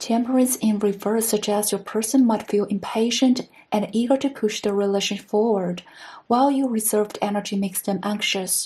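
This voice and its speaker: The speaker has a non-native accent. Their intonation is fairly even and their pace fairly quick. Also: woman, fairly high pitch for a woman. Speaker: tarot reader. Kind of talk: tarot reading to camera.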